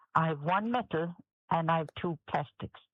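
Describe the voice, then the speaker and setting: A woman with a Kerry accent talks in a fairly low pitch. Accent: Kerry Irish. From Ireland, County Kerry. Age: 70s. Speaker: patient sharing her experience. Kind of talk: radio interview. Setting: radio interview. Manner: halting, repetitive.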